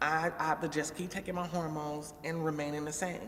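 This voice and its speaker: Audible room echo surrounds a woman speaking at a moderate pace in a fairly low pitch with ordinary pitch variation. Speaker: vlogger. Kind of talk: casual vlog monologue.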